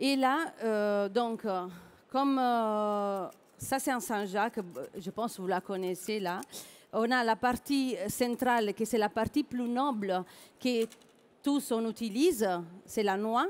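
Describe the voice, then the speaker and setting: A woman's fairly high voice with ordinary pitch variation, a very slow pace and long, frequent pauses, on a very clean recording with a silent background. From southern Italy. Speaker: chef. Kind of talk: cooking demonstration.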